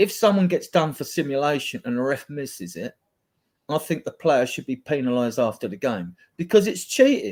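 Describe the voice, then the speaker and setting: A man talks at a fairly quick pace with a fairly high pitch, very wide pitch swings and big swings in loudness. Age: 60s. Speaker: football fan panelist. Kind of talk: casual chat.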